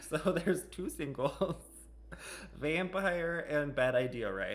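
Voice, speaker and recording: A man with a fairly high pitch and vocal fry speaks very slowly, his intonation lively. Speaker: music reaction video host. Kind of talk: casual reaction video talk. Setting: home music room. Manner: animated; loud.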